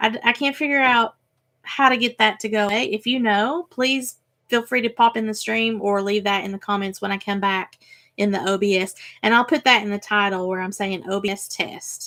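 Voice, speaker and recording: A woman talks at a moderate pace with a fairly high pitch and ordinary pitch variation. The recording is very clean with a silent background. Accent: Tennessee. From Tennessee, US South. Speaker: crafting YouTuber. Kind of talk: casual live stream chat. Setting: live stream. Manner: filler words, um and uh.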